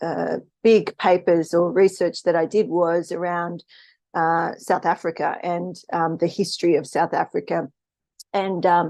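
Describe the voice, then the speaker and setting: Against a quiet background, a woman with an Australian accent talks at a fairly slow pace in a fairly low pitch. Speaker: spiritual live streamer. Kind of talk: casual live stream talk. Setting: live stream. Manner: hesitant, many fillers.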